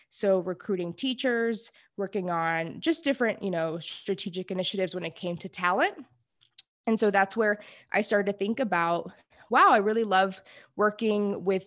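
An ordinary speaking voice with an American accent, moderate pace and ordinary pitch variation, in a very clean recording with a silent background. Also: woman. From Houston, Texas. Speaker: management consultant. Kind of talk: interview.

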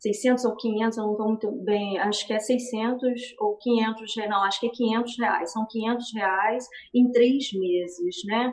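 A woman speaks very slowly at a fairly high pitch, with fairly even intonation and hardly any pauses. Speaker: dancer and ballet teacher. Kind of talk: interview on a live stream.

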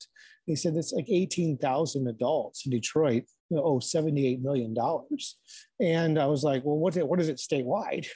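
Speaking at a moderate pace with a Midwestern American accent, a man uses a fairly high pitch, ordinary pitch variation and a dark, mellow tone over a quiet background. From Michigan, Ann Arbor area. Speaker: newspaper editor and journalist. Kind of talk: casual interview. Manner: frequent fillers and repetitions.

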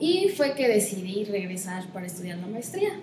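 A woman at medium pitch and a moderate pace, with audible room echo and noticeable background noise. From Mexico, Chiapas (Comitán). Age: 20s. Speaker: environmentalist and graduate student. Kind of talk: interview conversation.

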